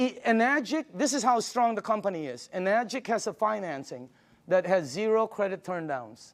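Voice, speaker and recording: Animated in tone, a man speaks at a moderate pace in a high pitch with very wide pitch swings. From Philippines. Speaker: product presenter. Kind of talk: sales pitch. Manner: animated, conversational with filler words.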